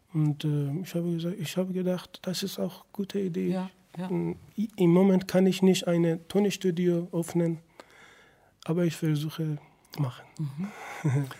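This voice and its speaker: A man with a Persian accent speaks at a fairly slow pace in a high pitch, using fairly even intonation and long, frequent pauses. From Iran. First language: Persian (speaking German). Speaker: singer, musician. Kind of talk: radio interview. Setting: radio studio. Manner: halting.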